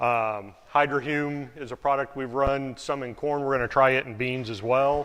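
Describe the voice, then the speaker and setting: Against a quiet background, a man talks at medium pitch with fairly even intonation. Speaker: farmer. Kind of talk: presentation. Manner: fast.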